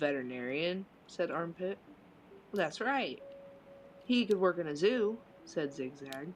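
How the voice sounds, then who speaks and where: A woman with a Southern US accent, fairly low in pitch, with very wide pitch swings, a fairly slow pace, and long, frequent pauses. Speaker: streamer. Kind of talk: reading aloud.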